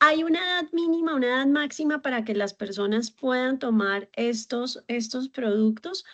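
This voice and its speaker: Hardly pausing, a woman speaks with a high voice and lively intonation. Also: moderate pace, dry, close sound with no echo. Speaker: community founder and host. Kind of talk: interview.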